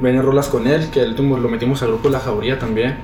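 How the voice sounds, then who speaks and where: Amid noticeable background noise and audible room echo, a man speaks at a fairly quick pace in a medium pitch with ordinary pitch variation. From Mexico, Chihuahua city. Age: 20s. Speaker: rapper. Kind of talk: casual interview chat. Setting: video recording.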